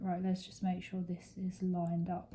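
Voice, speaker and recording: A woman speaks with a dark, mellow, somewhat breathy tone at a medium pitch, her intonation monotone and flat. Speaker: crafting YouTuber. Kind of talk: casual chat while crafting. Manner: slow; halting.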